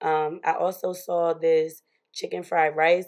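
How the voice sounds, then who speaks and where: A woman's fairly low-pitched, relaxed voice with monotone, flat intonation against a quiet background. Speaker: lifestyle vlogger. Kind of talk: casual vlog talk. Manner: filler-heavy, relaxed.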